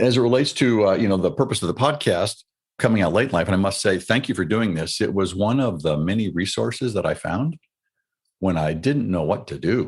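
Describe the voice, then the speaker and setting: A man with an American accent and a plain, everyday voice, fairly low in pitch, at a fairly quick pace. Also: lively intonation. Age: 60s. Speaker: retired military officer. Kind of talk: interview. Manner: reflective.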